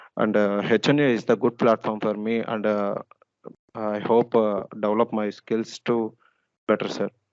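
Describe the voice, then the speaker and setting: Flat, monotone delivery at a moderate pace, with a dry, close sound and no echo. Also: man, fairly low pitch for a man. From Andhra Pradesh, India (Vijayawada). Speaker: new employee. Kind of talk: self-introduction in a meeting. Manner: halting.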